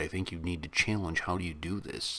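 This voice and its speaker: This man has a Chicago accent. His pitch is very deep and low, with fairly even intonation. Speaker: YouTube reaction host. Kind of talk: casual reaction commentary.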